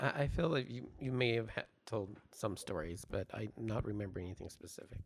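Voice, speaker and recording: A man with an American accent speaks at a fairly quick pace, with medium pitch and ordinary pitch variation. He has a plain, everyday voice. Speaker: producer and co-host. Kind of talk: casual chat, podcast.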